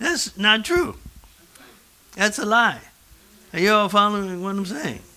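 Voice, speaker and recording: In a raised, projected voice, a man speaks with a high pitch and a bright, sharp tone. He goes at a fairly slow pace with long, frequent pauses. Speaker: pastor. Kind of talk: sermon. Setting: church. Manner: animated. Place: church.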